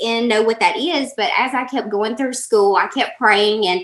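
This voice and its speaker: A woman's high-pitched voice in a Southern US accent. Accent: Southern US, country twang. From Alabama, US South (Birmingham). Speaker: life coach. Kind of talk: interview.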